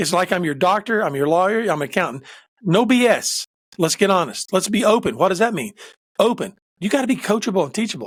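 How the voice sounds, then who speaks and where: This man talks at a very fast pace in a high pitch with lively intonation. The recording is very clean, with a silent background. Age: 60s. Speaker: executive coach and pastor. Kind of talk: casual chat. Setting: podcast interview. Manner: animated.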